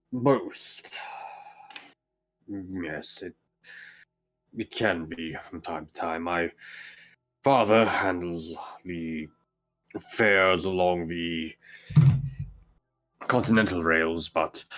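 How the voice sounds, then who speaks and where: A put-on character voice from a man, very deep and low, at a very slow pace with long, frequent pauses. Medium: actual play. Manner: hesitant, formal.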